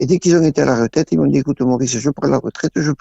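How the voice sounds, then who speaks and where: The voice has vocal fry and moves at a very fast pace. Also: man. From southern France, Tarn (Occitanie). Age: 80s+. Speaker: retired village cinema projectionist. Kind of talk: radio interview.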